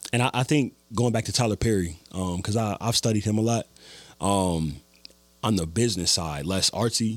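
Keeping very even loudness, a man with an American accent speaks at a moderate pace in a fairly low pitch with ordinary pitch variation. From US Midwest. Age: 20s. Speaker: filmmaker and musician. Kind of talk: casual interview chat.

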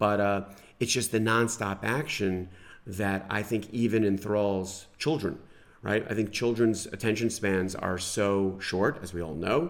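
An ordinary speaking voice with an American accent, fairly slow pace and ordinary pitch variation. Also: man, fairly low pitch for a man. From New York, US. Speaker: sports podcast co-host, hockey expert. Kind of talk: casual chat. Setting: studio.

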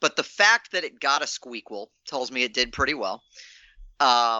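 A man speaks with an American accent. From Virginia, US. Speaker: trivia contestant. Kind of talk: casual chat, quiz answering. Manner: halting, repeats words.

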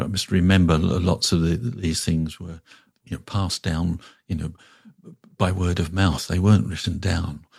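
A man's very deep, low pitch, somewhat breathy, with fairly even intonation at a moderate pace. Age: 60s. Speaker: Buddhist teacher. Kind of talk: reflective interview conversation. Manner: hesitant, thoughtful, many fillers.

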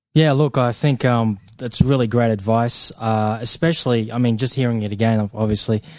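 An ordinary speaking voice moves at a fairly quick pace with hardly any pauses and fairly even intonation against a quiet background. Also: man, medium pitch for a man. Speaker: co-host and production company co-founder. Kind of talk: educational podcast talk. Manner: conversational with many filler words.

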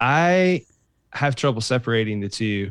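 In a dry, close recording with no echo and a quiet background, a man speaks at a medium pitch in an ordinary speaking voice. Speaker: worship leader and songwriter. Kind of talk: casual interview chat.

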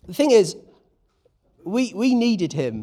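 A man with a British accent, dark and mellow in tone, at a fairly slow pace. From Britain. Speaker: preacher. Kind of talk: sermon.

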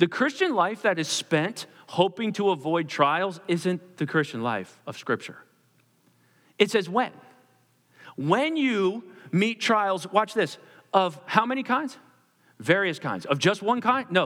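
With an American accent, a man speaks fairly slowly in a high, bright, sharp voice, swinging very widely in pitch and leaving long, frequent pauses. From Pennsylvania, US (Perkasie). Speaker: pastor. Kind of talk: sermon.

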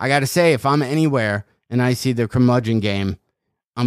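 A man speaks at a fairly quick pace in a normal speaking voice, medium in pitch with ordinary pitch variation, and the sound is dry and close with no echo. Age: 40s. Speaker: comedian and podcast host. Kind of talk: casual chat.

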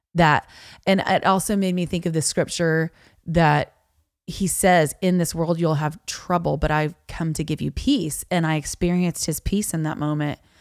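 Recorded very cleanly against a silent background, with a dry, close sound and no echo, a woman with an American accent speaks at a moderate pace in fairly even intonation. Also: fairly low pitch for a woman. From US South, Florida Panhandle (Niceville). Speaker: worship leader and country singer-songwriter. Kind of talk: casual interview chat.

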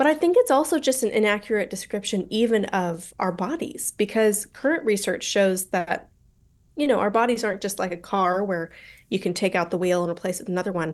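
Against a quiet background, a woman with an American accent speaks at a medium pitch and a fairly quick pace, with lively intonation. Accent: American, general. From Colorado, US. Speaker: author and university lecturer. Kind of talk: interview discussion.

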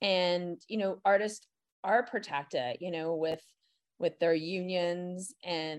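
Her voice is an unremarkable speaking voice, as this woman talks at a medium pitch with ordinary pitch variation. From Montreal, Canada. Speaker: former comedy festival director, nonprofit co-founder. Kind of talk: casual interview.

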